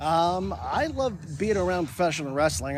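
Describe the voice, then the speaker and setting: At a moderate pace, a man with an American accent speaks at a fairly high pitch. Audible room echo surrounds his voice. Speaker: wrestling ring announcer. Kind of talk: on-location interview.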